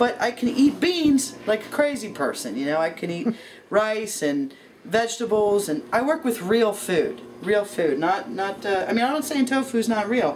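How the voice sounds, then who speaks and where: A woman speaks at a moderate pace with big swings in loudness. Light background noise can be heard. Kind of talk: casual cooking vlog chat. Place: kitchen. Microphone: camera far.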